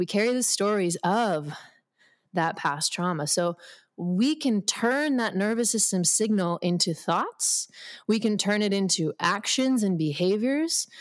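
A woman speaks in an unremarkable speaking voice at medium pitch and a fairly slow pace, her loudness very even, on a very clean recording with a silent background. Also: lively intonation. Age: 30s. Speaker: sports medicine doctor and wellness founder. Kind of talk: interview.

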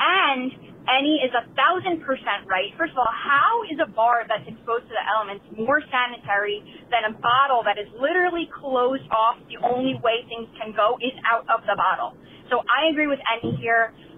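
The voice has a New York accent. Its intonation is lively. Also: woman. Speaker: caller. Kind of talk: voicemail opinion. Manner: emphatic.

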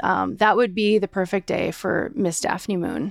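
Her medium-pitched voice has vocal fry, and the woman keeps a moderate pace with fairly even intonation. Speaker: dog owner. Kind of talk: casual chat.

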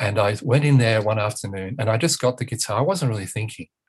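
A man speaks fairly quickly in a somewhat breathy voice, medium in pitch, with ordinary pitch variation. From northern England. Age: 60s. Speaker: author and parent educator. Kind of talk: interview. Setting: remote call from home.

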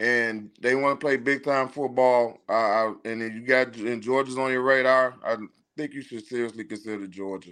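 Against a silent background on a very clean recording, a man with an ordinary speaking voice talks at a moderate pace and medium pitch with fairly even intonation. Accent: American. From Chicago. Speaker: parent of a football recruit. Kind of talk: casual chat.

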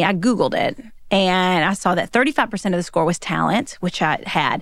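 Recorded very cleanly against a silent background, a woman with a Southern US accent and a medium pitch speaks in an animated, energetic tone. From Kentucky, US. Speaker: author and speaker. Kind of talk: casual interview chat.

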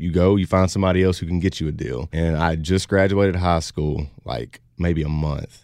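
A man with a Louisiana accent speaks at a moderate pace in a very deep, low pitch, with fairly even intonation and hardly any pauses. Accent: Southern US (Louisiana). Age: 20s. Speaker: country singer. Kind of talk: interview.

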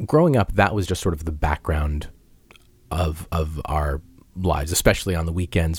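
A man with an American accent talks at a moderate pace in a very deep, low, somewhat breathy voice, captured in a very clean recording with a silent background. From Massachusetts (Peabody), US. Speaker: musician and podcast host. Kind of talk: interview.

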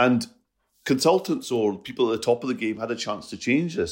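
Speaking at a very fast pace, a man with a Scottish accent comes through on a very clean recording against a silent background. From Scotland. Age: 50s. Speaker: comedian. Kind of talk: casual chat.

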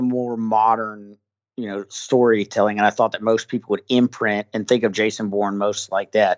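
Using an ordinary speaking voice, a man talks with an American accent at a medium pitch. His pace is moderate and his intonation fairly even. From US South. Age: 40s. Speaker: military thriller author and army veteran. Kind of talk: interview. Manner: casual, with fillers and restarts.

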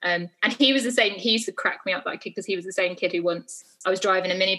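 A woman's bright, sharp, medium-pitched voice in a southern English accent, with ordinary pitch variation. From southeast England. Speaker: parenting author and blogger. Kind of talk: casual chat.

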